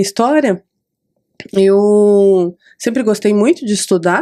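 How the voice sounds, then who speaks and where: A woman at medium pitch talks at a very slow pace, her dark, mellow tone carrying ordinary pitch variation. The recording is very clean with a silent background. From Brazil, São Paulo (Capão Redondo). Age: 40s. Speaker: hairstylist and podcast host. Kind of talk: interview about her life story.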